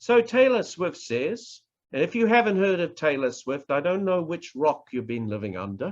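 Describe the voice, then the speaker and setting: A man speaks with a New Zealand accent at a high pitch. His pitch swings are very wide. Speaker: professor, public speaking trainer. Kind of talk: online workshop lecture. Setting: online presentation.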